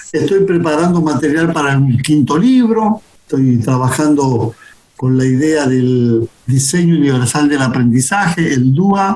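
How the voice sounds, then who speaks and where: Over noticeable background noise, a man with a fairly high voice talks fairly slowly, his loudness very even and his pitch varying in an ordinary way. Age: 60s. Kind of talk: interview conversation. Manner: hesitant, repeats words.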